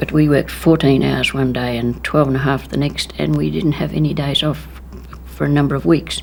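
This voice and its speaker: Over noticeable background noise, a woman with an Australian accent speaks at a fairly quick pace. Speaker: war veteran. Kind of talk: testimony.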